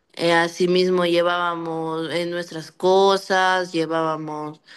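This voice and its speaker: In a quiet background, a woman talks with a fairly low pitch. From Ecuador. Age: 20s. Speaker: migrant. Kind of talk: testimony. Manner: halting.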